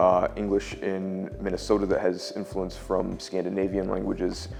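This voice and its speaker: With music playing in the background, a man talks at a moderate pace in a fairly low pitch. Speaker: linguistics professor. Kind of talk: academic interview answer. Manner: measured, explanatory.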